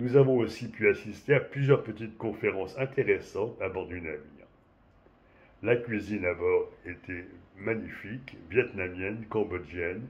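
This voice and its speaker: Somewhat breathy, the voice moves at a moderate pace. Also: man, medium pitch for a man, ordinary pitch variation, big swings in loudness. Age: 70s. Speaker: cruise passenger giving testimonial. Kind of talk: prepared testimonial, read-style. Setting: remote connection to webinar. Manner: formal.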